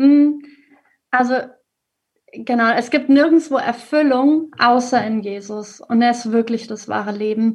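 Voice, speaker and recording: Her voice is high, and the woman talks at a fairly slow pace with ordinary pitch variation. She takes long, frequent pauses. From Germany, Hesse (Ostheim). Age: 30s. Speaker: primary school teacher. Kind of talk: faith testimony interview. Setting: video call.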